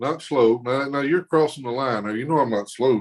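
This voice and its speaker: Pitched fairly high, a man talks with a strong Southern US accent. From Mississippi, US South. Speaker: arm wrestler. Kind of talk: casual chat.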